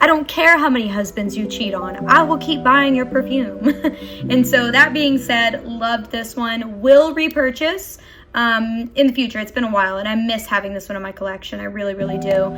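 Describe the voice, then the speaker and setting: Music plays in the background as a woman with an American accent talks at a moderate pace, her fairly high pitch showing ordinary variation. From US South, northwest Arkansas. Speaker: beauty vlogger. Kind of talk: casual chat. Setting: home, near a window. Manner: animated.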